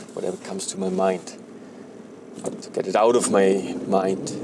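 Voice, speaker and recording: The speaker talks in a German accent over noticeable background noise. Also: man. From Germany. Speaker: podcaster. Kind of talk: casual monologue. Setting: in a car while driving. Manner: rambling, halting with fillers.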